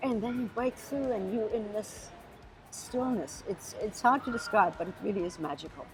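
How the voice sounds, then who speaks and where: A woman with a German accent at a fairly high pitch and moderate pace, music in the background. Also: lively intonation. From Namibia. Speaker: pilot. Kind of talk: interview. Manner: animated.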